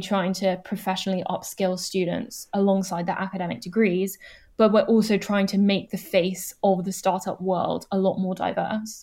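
The voice has a dark, mellow tone and a flat, monotone intonation. It moves at a moderate pace on a very clean recording with a silent background. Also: woman. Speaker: student start-up founder. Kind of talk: interview.

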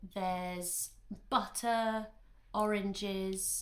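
A woman speaks very slowly in a fairly high pitch, with audible echo from the room. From Italy. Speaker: comedian. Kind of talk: casual chat.

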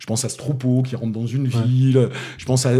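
Somewhat breathy and dark, mellow in tone, a man speaks with a Toulouse accent. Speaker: film critic. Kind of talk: casual chat. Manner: halting, repeats words.

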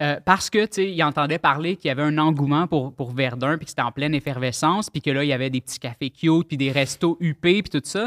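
A man with a normal speaking voice, lively intonation and a fairly quick pace, dry and close with no echo, on a very clean recording with a silent background. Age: 30s. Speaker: web artist and rapper. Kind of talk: casual chat.

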